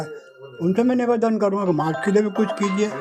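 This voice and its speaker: A man speaks in a high pitch with ordinary pitch variation. Noticeable background noise runs behind him. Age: 80s+. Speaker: folk theatre artist. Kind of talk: interview. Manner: halting.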